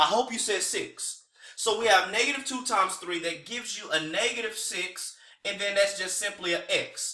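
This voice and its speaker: A man with a high pitch projects his voice at a moderate pace with ordinary pitch variation. Room echo can be heard. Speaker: teacher. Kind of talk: tutorial. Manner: casual.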